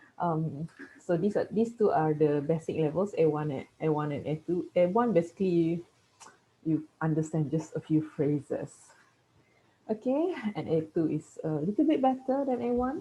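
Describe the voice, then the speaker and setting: In a Malaysian accent, a woman with a fairly low pitch speaks at a moderate pace with lively intonation. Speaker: teacher. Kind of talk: lecture. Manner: halting.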